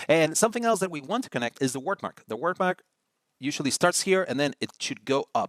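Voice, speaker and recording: A Spanish accent with fairly quick pacing and lively intonation, the sound dry and close with no echo, in a very clean recording over a silent background. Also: man. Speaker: design tutorial host. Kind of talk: tutorial. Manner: casual, with many fillers and repeats.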